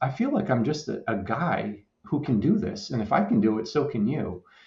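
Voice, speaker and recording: A man's voice carries vocal fry and very wide pitch swings. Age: 50s. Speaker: podcast guest, fitness enthusiast. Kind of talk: casual interview. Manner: halting.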